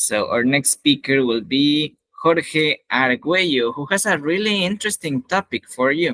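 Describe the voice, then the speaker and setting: Speaking slowly with lively intonation, a man with a Spanish accent holds a fairly high pitch. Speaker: English teacher and event host. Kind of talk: event hosting.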